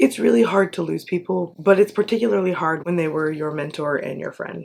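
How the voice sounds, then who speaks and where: With noticeable background noise around her, a woman speaks at a fairly low pitch with lively intonation. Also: fairly quick pace. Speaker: self-help video host. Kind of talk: casual vlog talk.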